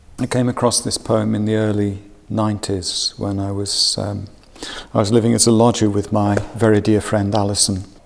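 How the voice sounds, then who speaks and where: A man talks at a moderate pace in a fairly low voice with flat, monotone intonation. Noticeable background noise sits behind him. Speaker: guest who chose a poem. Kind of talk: poem reading aloud.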